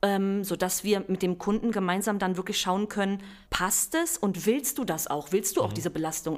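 In a normal speaking voice, a woman at medium pitch talks at a fairly quick pace, in a very clean recording, silent background. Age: 30s. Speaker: bank real estate expert. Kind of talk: podcast interview.

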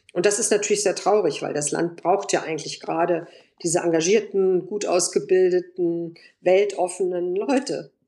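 The woman's tone is dark and mellow. She keeps her intonation fairly even. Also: medium pitch for a woman, moderate pace. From Germany (Bonn) and Moscow. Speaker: journalist and editor, Eastern Europe expert. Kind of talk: interview.

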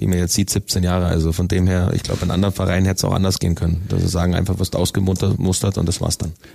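With noticeable background noise behind him, a man speaks in a very deep, low pitch with monotone, flat intonation. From Bavaria, Augsburg area (Königsbrunn). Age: 30s. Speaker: ice hockey player, team captain. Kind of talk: interview.

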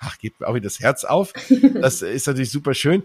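Very fast speech from a man, fairly high-pitched and somewhat breathy, in a dry, close sound with no echo. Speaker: podcast host. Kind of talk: casual chat.

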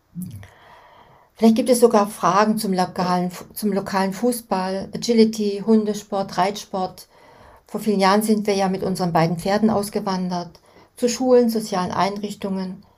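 At a moderate pace, a woman talks in a monotone, flat intonation at a medium pitch. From Germany. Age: 60s. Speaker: podcast host. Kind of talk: scripted narration.

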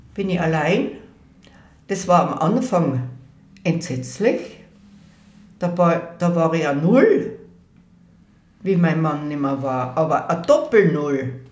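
A woman with a fairly low pitch speaks at a very slow pace, somewhat breathy and with lively intonation, leaving long, frequent pauses amid audible room echo. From Innsbruck, Tyrol, Austria. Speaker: elderly eyewitness recounting local history. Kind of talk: oral history interview. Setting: at her home.

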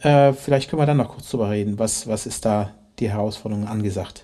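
The man talks at a fairly quick pace. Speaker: podcast host, orchestra musician. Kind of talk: interview. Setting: orchestra venue. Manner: hesitant, many fillers.

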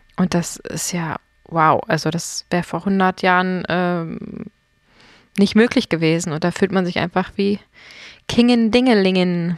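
A woman speaks at a fairly slow pace with long, frequent pauses and medium pitch. The sound is dry and close with no echo, and her pitch varies in an ordinary way. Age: 30s. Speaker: podcast host. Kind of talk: casual chat. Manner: animated.

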